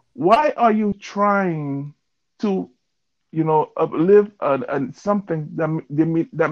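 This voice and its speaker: A man speaks very slowly in a high pitch, his pitch varying in an ordinary way. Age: 40s. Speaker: podcast co-host. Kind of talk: casual chat. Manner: halting, many fillers.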